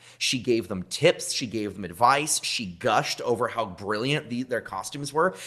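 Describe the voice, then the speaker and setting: The tone is bright, sharp and animated. Intonation is lively at a moderate pace. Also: man, medium pitch for a man, hardly any pauses. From small town. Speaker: costume designer and cosplay replicator. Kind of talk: casual interview chat.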